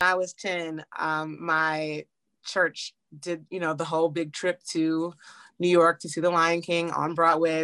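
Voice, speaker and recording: With an American accent, a woman speaks at a moderate pace in a fairly low pitch, her tone bright and sharp and her intonation monotone and flat, the sound dry and close with no echo against a quiet background. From Washington DC. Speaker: musical theatre actress. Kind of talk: casual chat.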